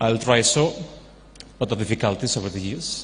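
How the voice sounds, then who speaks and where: A man speaks with a non-native accent. Noticeable background noise and audible room echo surround him. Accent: foreign. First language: not Telugu, foreign. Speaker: university vice president and professor. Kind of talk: speech at charity event. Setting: stage with audience. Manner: informal, off-the-cuff.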